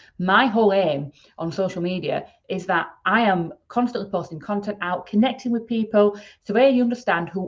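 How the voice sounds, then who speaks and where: A woman with a Yorkshire accent at a medium pitch and a moderate pace. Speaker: podcast host, email marketing expert. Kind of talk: solo podcast talk.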